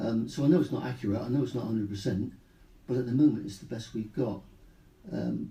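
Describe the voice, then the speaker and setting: With vocal fry and a dark, mellow tone, a man talks very fast at a medium pitch, his loudness swinging widely, his pitch varying in an ordinary way, and his long pauses coming often. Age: 60s. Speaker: retired police officer and cancer patient. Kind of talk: radio interview. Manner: halting.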